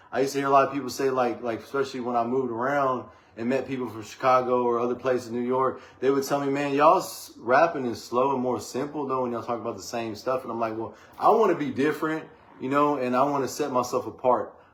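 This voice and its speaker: Against noticeable background noise, a man with an American accent speaks very fast at medium pitch with fairly even intonation. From Texas, Waco. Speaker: rapper and songwriter. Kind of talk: casual podcast interview. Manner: clear enunciation.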